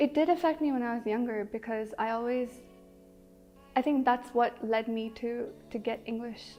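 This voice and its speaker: Over background music, a woman with a Telugu accent speaks at a high pitch and a moderate pace, her intonation fairly even and her speech broken by long, frequent pauses. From Kenya. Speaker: interviewee in language documentary. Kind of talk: interview answers. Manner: hesitant with fillers.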